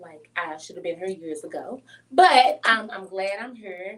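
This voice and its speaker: A woman with a St. Louis accent speaks at a moderate pace and a medium pitch. Her tone is energetic, with ordinary pitch variation. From St. Louis, Missouri, US Midwest. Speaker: business consultant and grant writer. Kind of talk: podcast interview.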